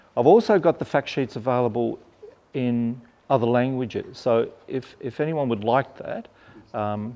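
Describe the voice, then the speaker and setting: A man talks at a fairly slow pace, his pitch varying in an ordinary way. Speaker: presenter. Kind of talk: informal presentation to growers. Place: hall.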